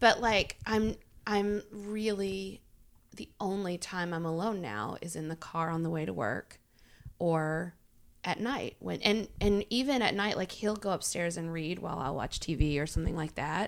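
Heard on a very clean recording with a silent background, a woman with a fairly low pitch speaks at a fairly slow pace with lively intonation. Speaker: improviser. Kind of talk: casual chat. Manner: loud; animated.

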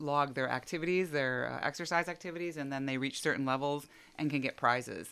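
Fairly quick speech with ordinary pitch variation, on a very clean recording with a silent background. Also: woman. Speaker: employee assistance counselor. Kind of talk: radio interview. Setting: radio studio.

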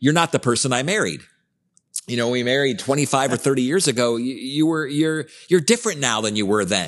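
A man with a normal speaking voice talks at a fairly quick pace and a medium pitch. His intonation is lively, and the background is quiet. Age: 50s. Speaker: podcast host and life coach. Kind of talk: casual chat.

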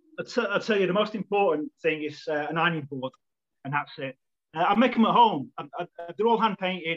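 A man with a Manchester accent speaks at a high pitch. His intonation is lively. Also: fairly quick pace. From Manchester, England. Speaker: football club volunteer, flag maker. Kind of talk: casual chat.

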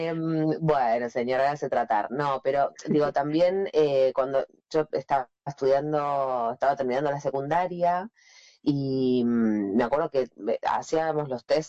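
A woman's very deep, low voice with ordinary pitch variation at a fairly slow pace. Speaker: radio announcer and journalist. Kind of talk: casual interview.

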